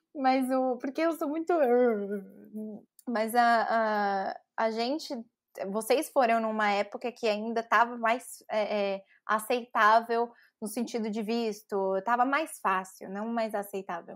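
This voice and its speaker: A woman with a São Paulo accent, fairly high in pitch, with ordinary pitch variation and a very slow pace. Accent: Paulistano Brazilian Portuguese. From São Paulo, Brazil. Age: 30s. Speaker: advertising professional. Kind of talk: podcast interview answer. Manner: chatty storyteller.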